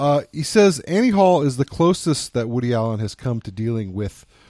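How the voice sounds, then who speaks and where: A man's dark, mellow voice at medium pitch with very wide pitch swings and moderate pace, on a very clean recording with a silent background. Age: 30s. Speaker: film review podcast host. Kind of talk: casual chat.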